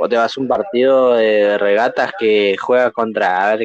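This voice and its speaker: This man has a normal speaking voice, a medium pitch and ordinary pitch variation. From Argentina, rural Corrientes. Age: 20s. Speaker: podcast co-host. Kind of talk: casual chat.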